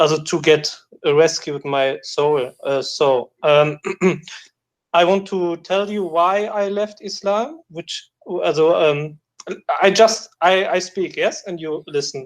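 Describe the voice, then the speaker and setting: A man's high voice at a very slow pace, with ordinary pitch variation. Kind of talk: call-in question. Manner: halting, many fillers and restarts.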